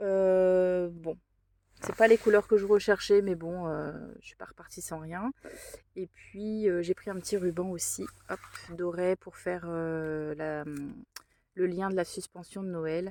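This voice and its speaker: Very slow and broken by long, frequent pauses, the speech has fairly even intonation and big swings in loudness, with a dry, close sound with no echo. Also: woman, medium pitch for a woman. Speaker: craft vlogger. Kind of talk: casual vlog. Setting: in a car. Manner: hesitant.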